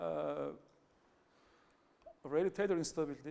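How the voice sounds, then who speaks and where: A man speaks with a Turkish accent. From Turkey. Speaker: academic researcher. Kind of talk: conference talk. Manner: halting, many fillers and restarts.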